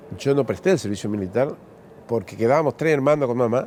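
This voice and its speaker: A man with a dark, mellow tone at a fairly quick pace, with ordinary pitch variation. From Argentina, Corrientes province. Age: 60s. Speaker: politician. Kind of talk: interview. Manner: halting.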